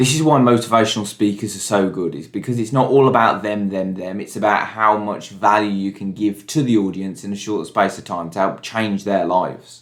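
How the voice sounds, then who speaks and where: In an ordinary speaking voice, a man with a fairly low pitch and ordinary pitch variation talks at a fairly quick pace with hardly any pauses. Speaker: vlogger. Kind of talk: vlog.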